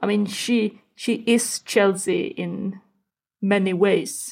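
A woman's medium-pitched voice in a Swedish accent, with fairly even intonation. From Sweden. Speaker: football podcast guest. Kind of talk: casual chat.

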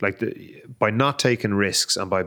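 Recorded very cleanly against a silent background, a man with an Irish accent talks at a fairly low pitch. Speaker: rugby podcast co-host. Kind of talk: casual chat.

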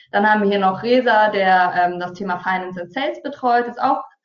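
A woman of medium pitch talks at a moderate pace in a plain, everyday voice, with ordinary pitch variation. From Hesse, Taunus (Germany). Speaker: marketing entrepreneur. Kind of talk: webinar presentation. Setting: online webinar.

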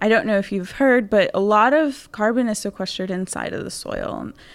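A woman with an American accent has a plain, everyday voice at medium pitch, ordinary pitch variation and a moderate pace. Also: very clean recording, silent background. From Houston, Texas. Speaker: PhD student and soil scientist. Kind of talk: interview.

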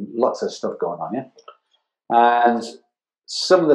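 At medium pitch, a man with a Geordie accent speaks in a dark, mellow tone. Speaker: advertising art director. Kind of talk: interview.

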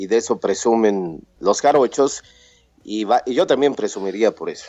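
Fairly slow speech in a central Mexican accent, ordinary pitch variation, music in the background. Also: man. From Mexico, Puebla. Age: 30s. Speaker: radio announcer and podcaster. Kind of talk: interview.

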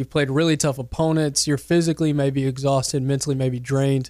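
Speaking at a very fast pace with an American accent, a man keeps a fairly high pitch and fairly even intonation. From Mississippi, later West Texas from 14. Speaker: sports radio producer and reporter. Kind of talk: casual sports chat.

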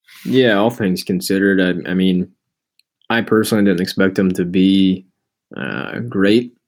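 Here a man talks at a moderate pace. His pitch is very deep and low, with ordinary pitch variation. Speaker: podcast co-host, sports commentator. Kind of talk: casual sports talk podcast.

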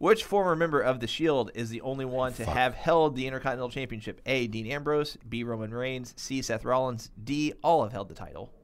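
With hardly any pauses, a man with an unremarkable speaking voice talks at medium pitch with ordinary pitch variation on a very clean recording with a silent background. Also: fairly quick pace. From US South. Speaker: podcast co-host. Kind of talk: casual chat.

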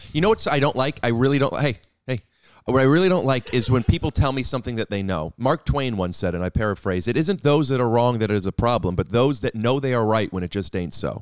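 Talking very fast with lively intonation, a man with an American accent has a medium pitch. The sound is dry and close with no echo, and the recording is very clean with a silent background. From US Midwest, Cleveland. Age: 30s. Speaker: comedian. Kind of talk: casual chat. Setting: studio.

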